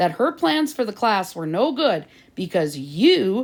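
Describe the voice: Plain reading aloud fills the recording.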